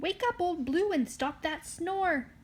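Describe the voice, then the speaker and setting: A woman's put-on character voice, extremely high-pitched, fairly slow, with lively intonation. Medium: read story. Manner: folksy, homespun.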